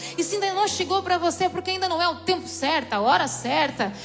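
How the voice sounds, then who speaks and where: A woman speaks at an extremely high pitch in an animated tone. Audible room echo and noticeable background noise surround her. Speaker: preacher. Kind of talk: sermon.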